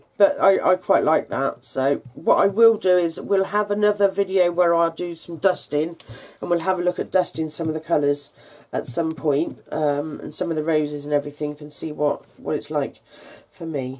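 With an unremarkable speaking voice, a woman talks at a moderate pace. Her pitch is fairly low, with ordinary variation. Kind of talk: tutorial.

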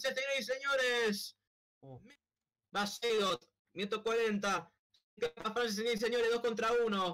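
At a very slow pace with long, frequent pauses, a man speaks in a raised, projected, high-pitched voice with a bright, sharp tone and ordinary pitch variation. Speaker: streamer and live commentator. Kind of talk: live sports commentary over a Roblox soccer match. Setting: online game stream. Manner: breathless, drawn-out goal calls with bursts of disbelief.

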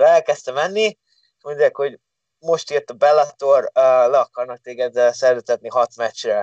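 Against a quiet background, a man speaks with a dry sound and no echo. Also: moderate pace. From Hungary. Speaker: MMA fighter; guest. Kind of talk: casual chat. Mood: cheerful, animated storytelling. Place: home room. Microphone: video call.

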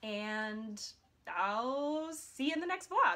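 A woman speaks with an American accent. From US Midwest, Iowa. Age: 20s. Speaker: vlogger. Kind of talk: casual vlog monologue. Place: home room. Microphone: phone near.

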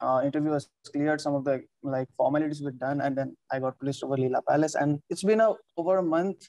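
A very fast man's voice, fairly high-pitched yet dark and mellow in tone, with ordinary pitch variation, dry with no echo, over a quiet background. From Nepal. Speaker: hotel front office worker; interviewee. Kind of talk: interview. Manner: hesitant, many fillers. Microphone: video call.

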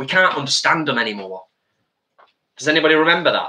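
A man talks at a fairly quick pace and medium pitch, with a bright, sharp tone and lively intonation. Room echo is audible.

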